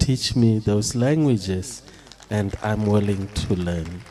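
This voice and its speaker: A man's very slow speech, with ordinary pitch variation, is heard against noticeable background noise. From South Africa. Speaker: professor. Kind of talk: keynote speech. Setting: stage with audience.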